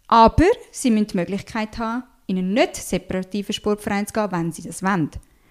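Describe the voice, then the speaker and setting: A woman with a Swiss accent speaks very fast in an animated tone, at medium pitch with ordinary pitch variation. Her loudness swings widely, and the recording is very clean with a silent background. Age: 20s. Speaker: social worker and children's book author. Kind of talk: interview.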